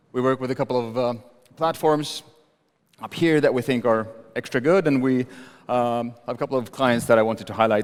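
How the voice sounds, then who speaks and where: This man speaks with a Sami accent. His voice sits at a medium pitch with fairly even intonation. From northern Sweden, Sami. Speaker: agency co-founder, conference speaker. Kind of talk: conference talk. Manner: fast.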